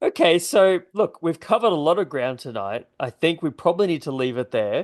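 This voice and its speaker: A man talks at a fairly quick pace in a high voice with a non-native accent. His pitch swings very widely, and the sound is dry and close with no echo. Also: quiet background. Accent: non-American accent, others may struggle. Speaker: podcast host. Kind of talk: casual chat.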